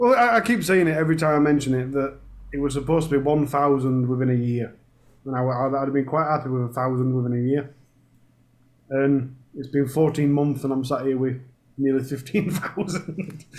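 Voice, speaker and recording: Fairly quick speech from a man with a Yorkshire accent, fairly high in pitch with ordinary pitch variation. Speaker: true crime YouTuber. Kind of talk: casual chat.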